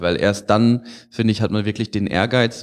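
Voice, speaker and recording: A man talks fairly slowly in a normal speaking voice. His pitch is fairly low, and his intonation fairly even. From Freiburg, southwest Germany. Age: 20s. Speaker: engineering student. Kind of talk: interview.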